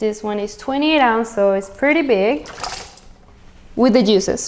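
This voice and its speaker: Over noticeable background noise, a woman with a fairly high voice talks at a moderate pace and with ordinary pitch variation. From Venezuela. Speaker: cooking channel host. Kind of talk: cooking tutorial. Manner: animated.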